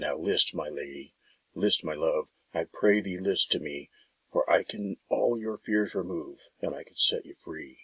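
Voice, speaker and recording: A man's put-on character voice with big swings in loudness. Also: moderate pace. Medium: read story.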